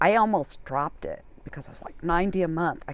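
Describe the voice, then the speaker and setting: With an ordinary speaking voice, a woman keeps a moderate pace at a fairly low pitch. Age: 60s. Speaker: full-time solo RVer. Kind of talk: casual interview chat.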